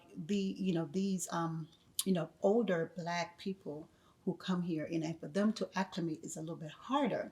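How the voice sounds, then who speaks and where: A woman's somewhat breathy, medium-pitched voice at a moderate pace, with a slight Jamaican accent. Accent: Jamaican accent regained, slight. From Jamaica, then the Bronx from teens. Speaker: educator. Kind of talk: podcast interview. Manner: hesitant, many fillers.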